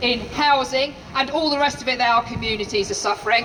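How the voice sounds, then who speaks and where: Shouting in a raised, projected voice, a woman with a high pitch is heard over noticeable background noise. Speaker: teachers' union official. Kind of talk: rally speech. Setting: outdoor rally with crowd. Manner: loud, shouting; impassioned.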